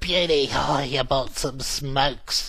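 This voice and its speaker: At a fairly slow pace, a put-on character voice speaks in a low-to-middle pitch. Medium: solo performance. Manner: excited, blokey exclamations.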